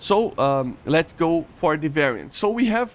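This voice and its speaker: Speaking very slowly with a Portuguese accent, a man lets his pitch swing very widely. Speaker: gaming YouTuber. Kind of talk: explainer tutorial. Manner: halting, many fillers and restarts.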